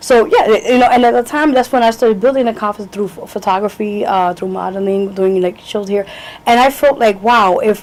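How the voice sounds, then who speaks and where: A woman with a New York accent at a fairly quick pace, against noticeable background noise. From New York, Lower East Side. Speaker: singer, actress, model. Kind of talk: interview answer.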